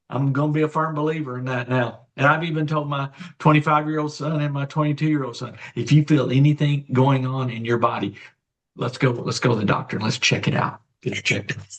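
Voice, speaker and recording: Somewhat breathy and fairly high-pitched, a man speaks at a very fast pace with fairly even intonation. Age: 60s. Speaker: guest sharing health story. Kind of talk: testimony. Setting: live online show.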